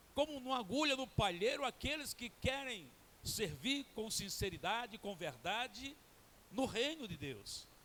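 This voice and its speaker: Lively intonation carries a voice that is raised and projected. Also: man, extremely high pitch for a man, fairly slow pace. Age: 70s. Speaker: guest pastor. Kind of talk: sermon.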